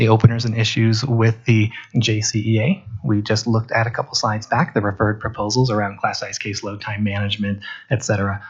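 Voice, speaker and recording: Speaking very fast, a man uses a fairly low pitch and a somewhat breathy voice. His intonation is fairly even. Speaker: district HR administrator. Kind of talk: board meeting presentation.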